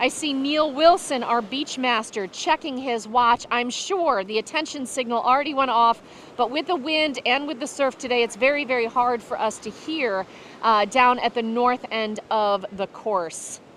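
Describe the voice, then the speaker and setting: A woman with a high pitch and ordinary pitch variation speaks at a moderate pace against noticeable background noise. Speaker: sailing race commentator. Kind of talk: live commentary. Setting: outdoors on a beach. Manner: loud.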